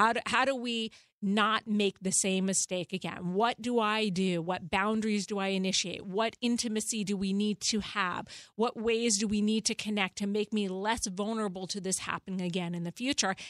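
This is an ordinary speaking voice at a moderate pace with fairly even intonation. The sound is dry and close, with no echo. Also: woman, medium pitch for a woman. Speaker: therapist. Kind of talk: advice talk on a podcast. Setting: studio. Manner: articulate.

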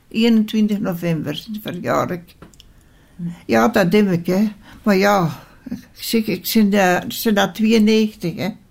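A woman speaks at a very slow pace, her voice somewhat breathy and medium in pitch. Her pitch varies in an ordinary way, and she leaves long, frequent pauses. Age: 90s. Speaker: care home resident. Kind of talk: interview. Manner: halting.

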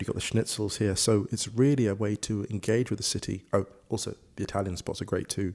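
This man's fairly low voice stays monotone, with flat intonation. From Ugandan heritage. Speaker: writer and football presenter. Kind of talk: casual chat over drinks.

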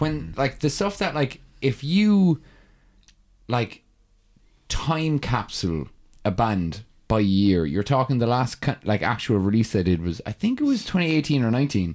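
This man speaks with an Irish accent at a fairly slow pace. His pitch swings very widely. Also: medium pitch for a man. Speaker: metal musician. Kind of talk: casual chat. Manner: animated.

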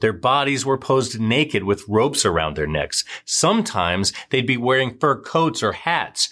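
With vocal fry and a bright, sharp, dramatic tone, the voice swings very widely in pitch at a moderate pace with hardly any pauses and very even loudness on a very clean recording with a silent background. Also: man, medium pitch for a man. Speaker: true crime narrator. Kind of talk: true-crime narration, scripted recap of a serial killer case. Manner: brisk, dramatic, storytelling.

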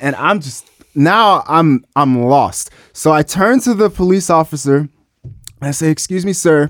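A man with an American accent and a plain, everyday voice speaks at a fairly slow pace and a fairly high pitch, his intonation lively and the sound dry and close with no echo. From US South, Memphis, Tennessee. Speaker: hip-hop artist. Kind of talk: casual chat.

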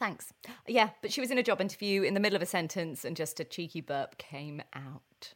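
Someone talks at a fairly quick pace with lively intonation. It is an ordinary speaking voice. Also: woman, medium pitch for a woman. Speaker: podcast host. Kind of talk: casual chat.

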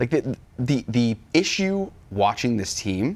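Fairly low-pitched man with vocal fry and very wide pitch swings, in a very clean recording with a silent background. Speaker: sports talk show co-host. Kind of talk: casual sports talk show. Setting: studio.

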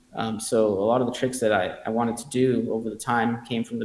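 In an American accent, a man speaks at a very fast pace and a medium pitch. His intonation stays monotone and flat amid noticeable background noise. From Los Angeles area, California. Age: 40s. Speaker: pro rollerblader. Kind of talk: interview, personal storytelling.

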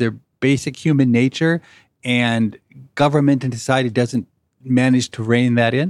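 On a very clean recording with a silent background and dry, close sound with no echo, a man talks in a plain, everyday voice at medium pitch and a moderate pace. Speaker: podcast host and economics professor. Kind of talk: interview conversation.

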